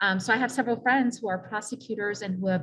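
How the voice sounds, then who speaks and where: A somewhat breathy woman speaks with an American accent and ordinary pitch variation. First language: Spanish. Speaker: non-profit director, panelist. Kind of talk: panel discussion.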